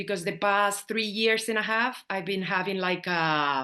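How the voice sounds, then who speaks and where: With a quiet background, a woman in a Spanish accent speaks at a fairly slow pace and medium pitch, with a bright, sharp tone and ordinary pitch variation. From Spain. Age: 50s. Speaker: astrology student. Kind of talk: interview. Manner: animated.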